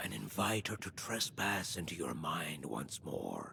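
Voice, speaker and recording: Whispering man in a put-on character voice, fairly slow, with clear background noise. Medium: video game. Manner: measured, solemn.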